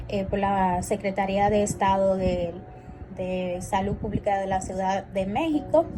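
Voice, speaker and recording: A woman at a medium pitch, with audible room echo and noticeable background noise. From Dominican Republic, San Francisco de Macorís. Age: 20s. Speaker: clinical psychologist and instructor. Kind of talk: lecture. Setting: recorded class also streamed live.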